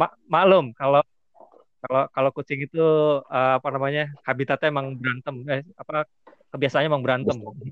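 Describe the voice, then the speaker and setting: The speaker has a normal speaking voice and fairly even intonation. The pace is fairly quick. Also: man, fairly high pitch for a man. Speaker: podcast host. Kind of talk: casual interview chat. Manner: casual, occasionally stumbling over words.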